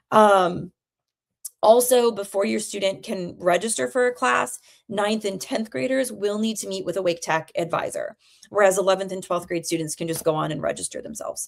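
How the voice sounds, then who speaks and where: With vocal fry and lively intonation, a woman at a medium pitch speaks at a moderate pace. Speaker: college admissions consultant. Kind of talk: live Q&A webinar. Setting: livestream. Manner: chatty, friendly.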